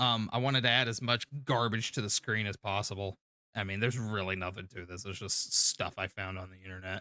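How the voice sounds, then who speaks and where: In a very clean recording with a silent background, a man speaks at a fairly quick pace with a fairly low pitch and a bright, sharp tone. His intonation is fairly even, his loudness swings widely, and the sound is dry and close with no echo. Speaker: streamer. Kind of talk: live stream commentary on video editing. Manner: fast.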